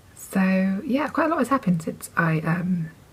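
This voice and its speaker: Lively intonation comes through in an English accent over noticeable background noise. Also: woman. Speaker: knitting podcaster. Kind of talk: casual chat. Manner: chatty, with fillers.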